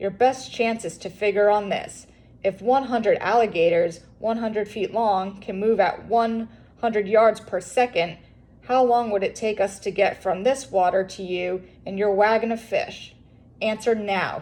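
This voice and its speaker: A woman does a put-on character voice at a medium pitch and a moderate pace. There is hissing on the recording. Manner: hissing, menacing.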